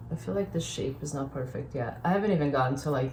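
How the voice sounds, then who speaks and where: Somewhat breathy speech in a Brazilian accent carries audible room echo. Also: woman. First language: Portuguese. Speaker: painter. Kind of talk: casual painting tutorial.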